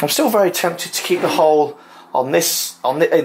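A man talks at a moderate pace with a medium pitch. Faint background noise is audible.

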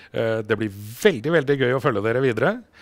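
Over a quiet background, a man speaks at a fairly quick pace with lively intonation. The sound is dry with no echo. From Norway. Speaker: motorsport TV host. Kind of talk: studio interview show. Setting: studio. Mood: warm, upbeat, proud. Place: studio. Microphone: lapel.

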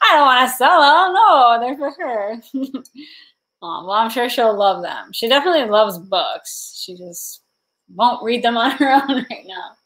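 A woman with a high pitch speaks at a fairly slow pace in an animated tone, with very wide pitch swings and big swings in loudness. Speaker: livestreamer and thrift reseller. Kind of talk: casual livestream chat. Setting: livestream at home with chat. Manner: chatty, giggly, animated. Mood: warm, cheerful. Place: home room. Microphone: webcam.

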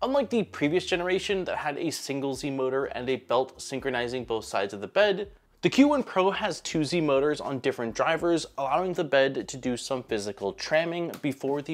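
A man talks at a fairly quick pace with hardly any pauses. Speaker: tech reviewer. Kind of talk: product review narration. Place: workshop. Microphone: lapel.

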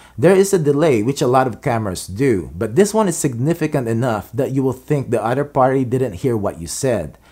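A man's medium-pitched voice with big pitch swings, a fairly quick pace and a slightly mellow tone.

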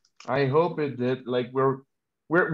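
Moderate pace from a man, quiet background behind him. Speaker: webinar host for a tech talent company; webinar host. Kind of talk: hosted webinar introduction and Q&A. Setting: online video webinar. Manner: halting, many filler sounds. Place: home room. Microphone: video call.

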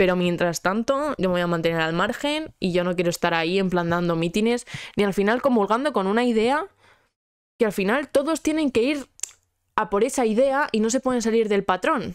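Against a quiet background with a dry sound and no echo, a woman with a fairly high pitch speaks at a moderate pace in an animated tone, with lively intonation and very even loudness. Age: 20s. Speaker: podcast host; podcast host or guest. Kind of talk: casual chat. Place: home room. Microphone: handheld.

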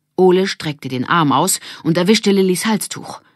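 A woman speaks at a moderate pace with lively intonation. Her pitch is fairly low.

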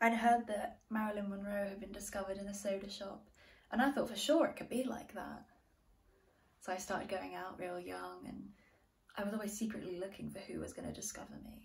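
A woman talks at a fairly quick pace. Vocal fry runs through her voice. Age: 20s. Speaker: actor posting self-tape. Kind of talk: dramatic monologue, self-tape acting audition. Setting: home self-tape recording. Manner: wistful, emotional, halting with hesitant repeats; earnest, dreamy, naive yet tinged with sadness. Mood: wistful, reflective. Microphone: phone near.

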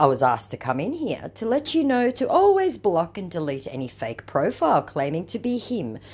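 The voice has vocal fry and very wide pitch swings at a moderate pace. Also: woman. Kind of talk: casual commentary reading messages.

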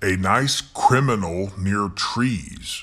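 Very slowly, a man speaks in a bright, sharp tone, his fairly low pitch swinging very widely. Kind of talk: reading anagram puzzles.

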